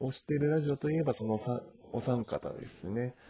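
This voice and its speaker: His voice is somewhat breathy and pitched in the medium range. The pitch moves up and down in an ordinary way. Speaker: amateur podcast host and online gamer. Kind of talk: casual solo podcast monologue. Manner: halting, stumbling over words; hesitant with many fillers and nervous laughs.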